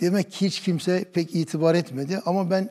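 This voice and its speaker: Over a quiet background, a man speaks at a moderate pace in a dark, mellow tone. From Turkey, Kütahya; Turkey. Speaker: imam. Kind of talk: interview testimony. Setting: studio. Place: studio. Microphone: lapel.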